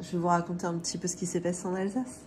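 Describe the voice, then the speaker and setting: A woman speaks with a fairly low pitch. Noticeable background noise is present. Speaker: family budgeting vlogger. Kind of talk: casual vlog chat. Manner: hesitant, many filler sounds.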